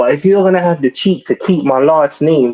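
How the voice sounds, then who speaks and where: This man talks at a moderate pace with a British accent. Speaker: caller. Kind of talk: casual chat. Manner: animated.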